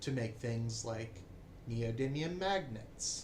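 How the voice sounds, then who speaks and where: Somewhat breathy and in an American accent, a man speaks at a very slow pace with ordinary pitch variation, with audible room echo around him. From United States. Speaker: political commentator. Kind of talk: opinion monologue.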